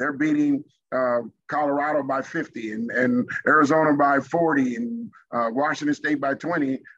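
A man with a normal speaking voice, fairly high pitch and fairly even intonation. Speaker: former pro football player. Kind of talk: casual chat.

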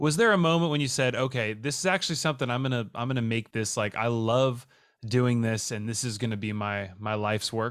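A man with a plain, everyday voice and medium pitch talks at a fairly quick pace with ordinary pitch variation, in a very clean recording over a silent background. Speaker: podcast host. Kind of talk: casual chat. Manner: upbeat, laughs often.

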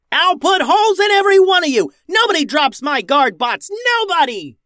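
A put-on character voice, bright and sharp in tone, with big pitch swings at a moderate pace. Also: man, extremely high pitch for a man.

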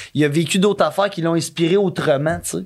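A man with a Quebec accent talks at a fairly quick pace. His intonation is fairly even. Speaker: podcast guest. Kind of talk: casual chat. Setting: studio.

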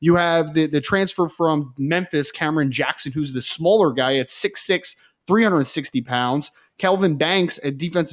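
A man with a normal speaking voice, fairly high pitch, ordinary pitch variation and moderate pace, in a dry, close sound with no echo on a very clean recording with a silent background. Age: 30s. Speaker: recruiting analyst. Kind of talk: casual sports analysis chat.

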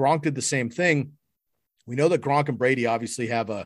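A man with an American accent, medium pitch, ordinary pitch variation, and a very clean recording over a silent background. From US West Coast, San Francisco. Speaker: fantasy football analyst. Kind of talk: casual chat.

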